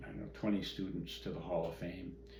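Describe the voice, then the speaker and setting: Against noticeable background noise, a man with an American accent talks at a moderate pace. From Midwestern US. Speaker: karate grand master. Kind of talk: oral history interview answer. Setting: at home.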